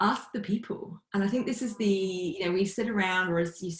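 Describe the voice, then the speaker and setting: A woman with a British accent, somewhat breathy, at a fairly quick pace. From UK. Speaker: facilitator and team coach. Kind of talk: podcast interview.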